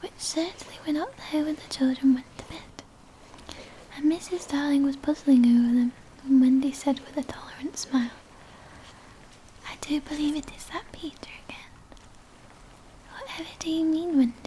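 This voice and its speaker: A soft-spoken woman at a high pitch and moderate pace, with fairly even intonation, big swings in loudness, long, frequent pauses and noticeable background noise. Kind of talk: audiobook-style reading of a children's novel. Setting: close-up ASMR recording with page turning.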